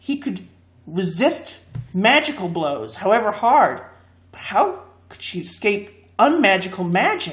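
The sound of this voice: The voice reads in an unforced way, its intonation lively.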